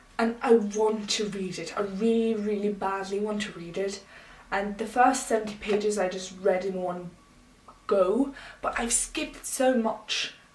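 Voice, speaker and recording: A woman speaks at a fairly slow pace and medium pitch, her intonation fairly even, with audible room echo and noticeable background noise. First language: not English. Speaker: booktuber. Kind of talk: casual vlog talk.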